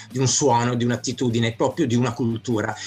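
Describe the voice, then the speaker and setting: A man is speaking. Music plays in the background. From Milan, Italy. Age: 50s. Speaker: graffiti artist. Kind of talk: casual interview.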